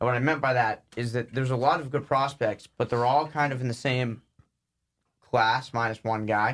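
Here a man has an unremarkable speaking voice at a medium pitch. He talks at a moderate pace with fairly even intonation. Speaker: podcast host. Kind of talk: casual banter about baseball.

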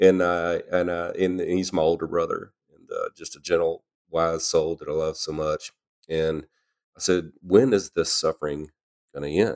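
The speaker is a man with a Louisiana accent. His voice sounds dry and close, with no echo. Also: moderate pace, big swings in loudness. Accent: Southern US (Louisiana). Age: 50s. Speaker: podcast guest, host's husband. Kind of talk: casual faith conversation. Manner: halting, many filler words.

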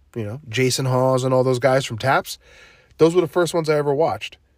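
With an American accent, a man speaks at a fairly high pitch in an animated tone. His intonation is lively. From New Jersey. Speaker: podcast host. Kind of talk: casual solo monologue. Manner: halting.

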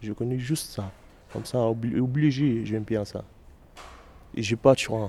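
With an Egyptian accent, a man talks at a fairly slow pace in a dark, mellow tone, leaving long, frequent pauses. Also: medium pitch for a man, fairly even intonation. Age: 20s. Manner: halting, broken French.

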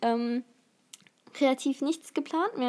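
The recording is very clean, with a silent background. A woman speaks in a dark, mellow tone. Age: young. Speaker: podcast co-host, university student. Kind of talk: casual chat.

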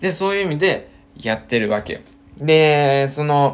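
At a fairly slow pace, a man with a fairly high pitch talks in an unremarkable speaking voice. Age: 30s. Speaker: ramen shop owner. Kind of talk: casual solo monologue. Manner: casual, many fillers.

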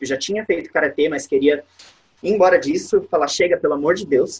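A man talks at a very fast pace. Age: 20s. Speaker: musical theatre actor. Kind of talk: interview.

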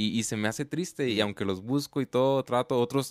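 In a very clean recording with a silent background and a dry, close sound with no echo, a man speaks at a moderate pace with ordinary pitch variation in a plain, everyday voice. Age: 20s. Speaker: podcast host. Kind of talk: casual interview.

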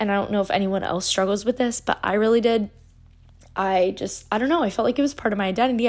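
With ordinary pitch variation, a woman talks in an unremarkable speaking voice. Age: 20s. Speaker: podcast host, recent college graduate. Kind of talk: casual solo monologue. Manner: chatty, filler-heavy.

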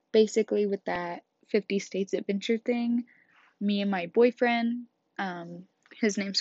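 In a Midwestern US accent, the speaker goes at a fairly slow pace with fairly even intonation. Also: woman. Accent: US Midwest. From Kansas. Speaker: podcast host. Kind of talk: casual monologue.

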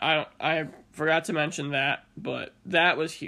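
A man speaks with a high pitch. His tone is bright and sharp. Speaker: college basketball podcast host. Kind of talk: casual sports talk monologue.

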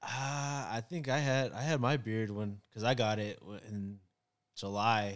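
A man speaks in a plain, everyday voice. His pace is fairly slow, with ordinary pitch variation. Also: medium pitch for a man, very clean recording, silent background. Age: 30s. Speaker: barber. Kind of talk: casual chat.

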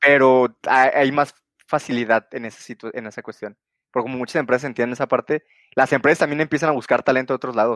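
A man's medium-pitched voice at a very fast pace, with fairly even intonation, a dry, close sound with no echo, and a very clean recording over a silent background. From Mexico, Guadalajara. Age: 20s. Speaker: software engineer. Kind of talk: interview. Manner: halting.

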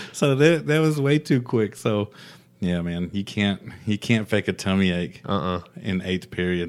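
In a very clean recording with a silent background, a man with a plain, everyday voice speaks fairly slowly at a fairly low pitch, his intonation lively. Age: 30s. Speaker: podcast host. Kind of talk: casual chat.

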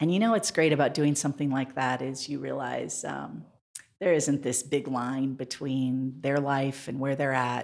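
Speaking at a moderate pace with an American accent, a woman uses a very deep, low pitch with vocal fry and ordinary pitch variation. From Montana. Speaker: mayoral candidate. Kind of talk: interview.

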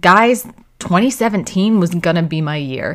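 A woman's medium-pitched voice with an American accent, lively intonation and a very slow pace. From United States. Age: 30s. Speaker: podcast host. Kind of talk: scripted narration.

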